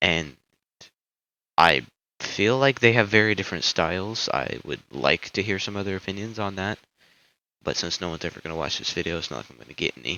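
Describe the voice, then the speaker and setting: A man with a very deep, low pitch and vocal fry speaks at a fairly quick pace with lively intonation, big swings in loudness, and long, frequent pauses. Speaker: amateur YouTuber giving opinions. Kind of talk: casual opinion monologue. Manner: halting, many fillers.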